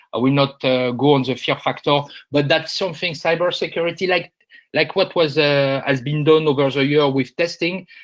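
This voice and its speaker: A man with a French accent talks at a moderate pace. His pitch is fairly high, and his intonation fairly even. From France. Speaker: industry analyst. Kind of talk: webinar presentation. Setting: online webinar. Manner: hesitant, many filler sounds.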